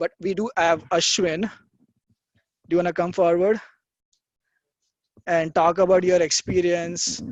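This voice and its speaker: Soft-spoken delivery at a fairly slow pace, with long, frequent pauses. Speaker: info session organizer. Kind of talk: casual presentation.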